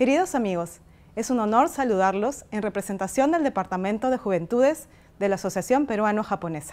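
Fairly high in pitch, a woman talks at a fairly quick pace with lively intonation. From Peru. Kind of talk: recorded video message. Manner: formal. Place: garden.

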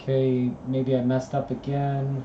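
The speech moves at a very slow pace with monotone, flat intonation, heard through noticeable background noise and audible room echo. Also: man. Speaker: student streaming study session. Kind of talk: casual live study stream commentary. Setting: at computer with music playing. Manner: loud; halting, many fillers.

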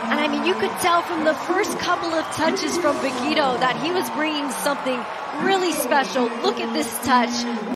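Over noticeable background noise, a woman with a high pitch talks at a moderate pace with ordinary pitch variation. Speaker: color commentator. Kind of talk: live sports commentary.

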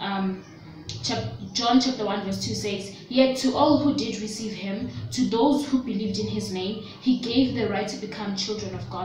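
A woman talks at a fairly quick pace in a medium pitch. Light background noise and audible room echo are present. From South Africa. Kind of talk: religious teaching vlog. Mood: earnest, gentle. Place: home room. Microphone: phone near.

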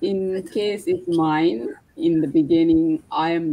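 A woman with a Sri Lankan accent has a dark, mellow tone and ordinary pitch variation. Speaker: online business partner. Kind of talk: casual chat. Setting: live video stream. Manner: halting, non-fluent English. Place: home room. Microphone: video call.

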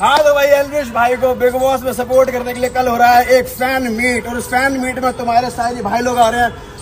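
Over faint background noise, a man talks at a fairly quick pace in an extremely high pitch with little pitch movement.

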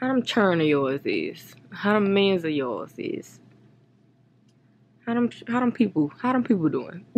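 Her pitch is fairly high for a woman and makes very wide swings. She speaks at a fairly slow pace. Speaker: vlogger. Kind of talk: casual vlog chat. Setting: outdoors walking. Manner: chatty. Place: home room. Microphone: phone near.

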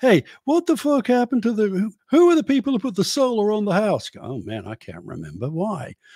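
With lively intonation and big swings in loudness, a man speaks at a fairly quick pace and a high pitch, the sound dry with no echo over a quiet background. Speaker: podcast co-host, former radio host. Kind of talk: casual comedic chat. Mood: relaxed, joking, some swearing. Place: home room. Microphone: studio mic.

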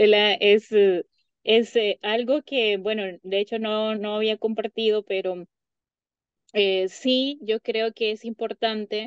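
A woman's fairly high voice at a very slow pace with long, frequent pauses and fairly even intonation, in a dry sound with no echo and a quiet background. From Honduras. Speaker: psychologist; guest. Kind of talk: interview. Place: home room. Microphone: video call.

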